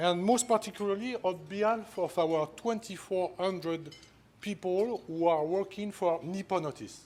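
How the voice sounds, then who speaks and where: A man with a French accent speaks at a high pitch with ordinary pitch variation. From France. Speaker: company executive, award honoree. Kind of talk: award acceptance speech.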